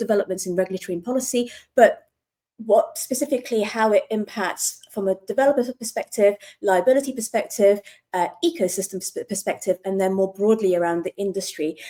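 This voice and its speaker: With a British accent, a woman speaks fairly quickly in a fairly high voice with a dark, mellow tone and ordinary pitch variation. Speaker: lawyer. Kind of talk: panel discussion.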